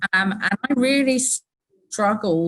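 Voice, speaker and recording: A woman speaks with a British accent. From UK. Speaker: company employee. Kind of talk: casual chat.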